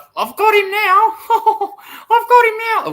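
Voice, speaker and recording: A put-on character voice, female-sounding and squeaky, sits at an extremely high pitch. It moves at a fairly slow pace in a monotone, flat delivery. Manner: sly, gloating.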